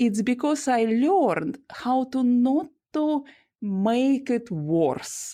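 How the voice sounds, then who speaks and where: Her voice is high-pitched with a dark, mellow tone, making very wide pitch swings as this woman talks at a very slow pace. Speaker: trauma coach. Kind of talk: interview. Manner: halting.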